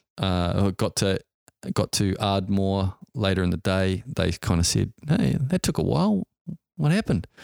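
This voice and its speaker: Recorded very cleanly against a silent background, a man with a New Zealand accent talks at a fairly slow pace with fairly low pitch, lively intonation, very even loudness and a dry, close sound with no echo. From New Zealand, Auckland. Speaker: helicopter pilot and entrepreneur. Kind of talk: interview storytelling.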